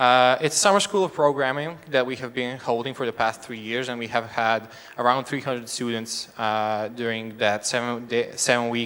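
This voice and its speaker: A man speaks with a Serbian accent at a moderate pace, his pitch medium. His pitch varies in an ordinary way, and he hardly pauses at all. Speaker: education nonprofit representative. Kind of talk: stage presentation. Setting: stage with audience. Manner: halting.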